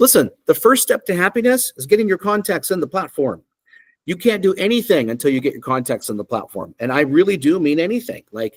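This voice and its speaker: The man's pitch is high, and his loudness swings in big jumps. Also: fairly quick pace. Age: 50s. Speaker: software company CEO. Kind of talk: software demo presentation. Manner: casual, conversational with fillers.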